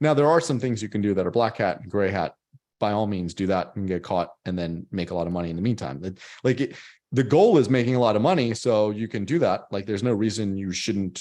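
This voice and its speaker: Speaking at a fairly quick pace, a man uses a fairly low pitch, ordinary pitch variation and a dark, mellow tone. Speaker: SEO expert. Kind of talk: webinar interview. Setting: video call. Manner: fast.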